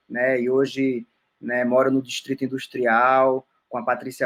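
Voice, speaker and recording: A man's medium-pitched voice at a moderate pace, an ordinary speaking voice. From Roraima, northern Brazil. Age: 30s. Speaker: musician and anthropologist. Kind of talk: casual interview.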